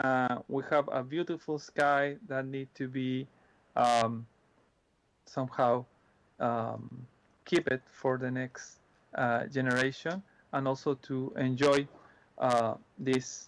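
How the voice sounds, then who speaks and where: A man's medium-pitched voice with a Spanish accent, very slow and full of long, frequent pauses, fairly even in intonation, in a very clean recording with a silent background. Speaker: astronomy presenter. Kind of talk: Q&A answers. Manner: halting, many repetitions and fillers.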